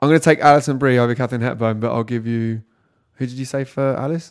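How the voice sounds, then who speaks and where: Speaking with a British accent, a man keeps a medium pitch and fairly even intonation. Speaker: music magazine podcast host. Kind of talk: casual chat, podcast. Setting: echoey boardroom.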